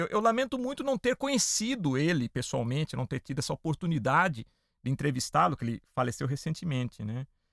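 This man's tone is animated, with very wide pitch swings. The sound is dry and close with no echo, in a very clean recording with a silent background. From interior of São Paulo state, Brazil (Piracicaba). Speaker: podcast host. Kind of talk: podcast interview.

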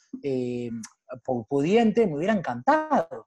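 At a moderate pace, a man with a plain, everyday voice speaks with lively intonation. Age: 30s. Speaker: programming school founder and freelancer. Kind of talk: interview.

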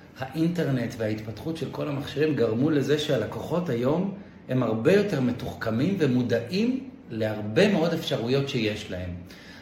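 Against noticeable background noise and audible room echo, a man speaks at a medium pitch. His pace is moderate and his intonation lively. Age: 40s. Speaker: investment manager. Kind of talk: interview.

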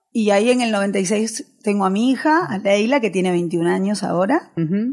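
A woman's somewhat breathy, fairly high voice at a fairly slow pace, full of lively intonation. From Argentina, raised from age 7 (born in Galicia, Spain). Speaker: tango fusion singer. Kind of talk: interview chat. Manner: animated.

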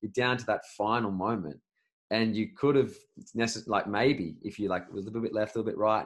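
Moving at a fairly quick pace, a man with an unremarkable speaking voice keeps a fairly low pitch and fairly even intonation. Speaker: podcast host. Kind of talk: interview, conversational.

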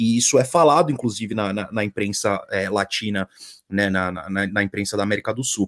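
On a very clean recording against a silent background, a normal speaking voice at a moderate pace, its pitch varying in an ordinary way. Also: man, fairly low pitch for a man. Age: 30s. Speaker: football commentator. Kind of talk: casual post-match chat.

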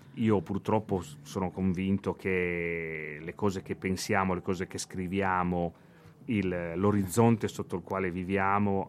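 On a very clean recording with a silent background, a man with a very deep, low pitch speaks very slowly with fairly even intonation. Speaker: punk musician and songwriter. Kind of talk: radio interview. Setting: radio studio. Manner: halting.

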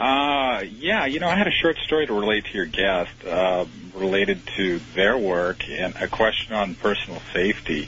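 A man's fairly low voice at a moderate pace, with very wide pitch swings, hardly any pauses and noticeable background noise. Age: 40s. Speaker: radio caller. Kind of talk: call-in question. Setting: phone call.

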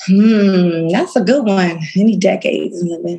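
A woman at a medium pitch talks with ordinary pitch variation and a somewhat breathy quality. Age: 30s. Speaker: fashion entrepreneur. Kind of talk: casual interview.

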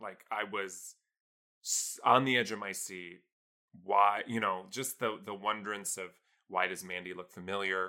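A man with an American accent speaks fairly slowly at a fairly low pitch, his intonation fairly even. His tone is bright and sharp, and his loudness swings widely. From Iowa, small town. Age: 30s. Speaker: music composer. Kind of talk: casual chat.

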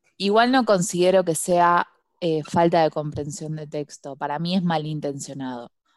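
A woman talks at a moderate pace with a Buenos Aires accent. Her pitch varies in an ordinary way. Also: fairly low pitch for a woman. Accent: Rioplatense Spanish (Buenos Aires). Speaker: podcast co-host. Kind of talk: casual chat.

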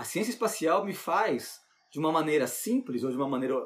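Delivery proceeds at a moderate pace. Its pitch moves in very wide swings. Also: man. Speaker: science teacher. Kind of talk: interview. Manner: halting, repeats words.

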